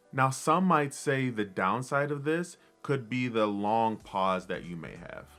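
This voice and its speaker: Fairly slow speech from a man at medium pitch with ordinary pitch variation, music in the background. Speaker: motivational speaker. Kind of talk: tutorial.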